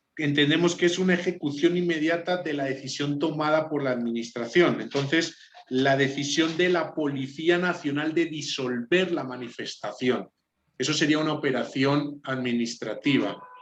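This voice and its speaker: Speaking with a Spanish accent, a man talks at a moderate pace. His pitch is fairly high, with ordinary variation. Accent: Spanish (Spain). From Spain. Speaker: law student. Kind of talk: class presentation.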